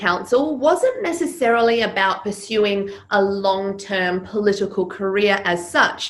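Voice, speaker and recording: A woman speaks at a medium pitch with lively intonation over noticeable background noise. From Serbia. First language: Serbian. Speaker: public speaking coach. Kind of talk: interview.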